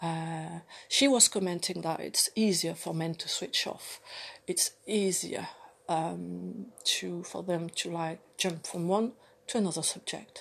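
A woman with a French accent speaks very slowly at a fairly low pitch, with ordinary pitch variation over a quiet background. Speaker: vlogger. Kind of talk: personal monologue. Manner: halting, many fillers.

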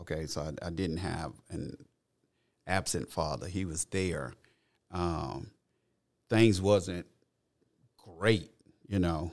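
A man with a very deep, low pitch and vocal fry speaks very slowly with long, frequent pauses and ordinary pitch variation. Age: 50s. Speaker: grandfather and guest speaking on fatherhood. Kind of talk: casual chat. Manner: halting, with many repeated words and fillers.

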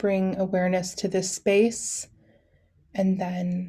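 A woman at a very slow pace and medium pitch, somewhat breathy, with a soothing tone and monotone, flat intonation. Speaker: doula and podcast host. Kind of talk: guided meditation; casual solo podcast talk. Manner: soft, slow, soothing.

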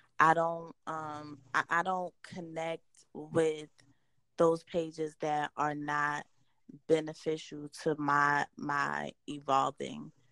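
Speaking very slowly in a northeastern US accent, a woman has a very deep, low pitch, a bright, sharp tone and monotone, flat intonation. The sound is dry and close with no echo. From New Jersey. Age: 30s. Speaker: entrepreneur and women's empowerment advocate. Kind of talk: interview.

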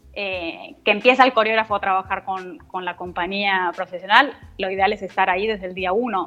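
An ordinary speaking voice at a moderate pace, with ordinary pitch variation and hardly any pauses. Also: woman, medium pitch for a woman. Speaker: dance notator and ballet teacher. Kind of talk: interview.

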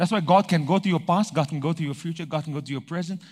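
The audio is very clean, and the background is silent. A man talks in an animated tone. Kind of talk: sermon. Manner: animated, rhythmic call-and-response preaching, driving each point home with repetition; pausing to ask the congregation for amens.

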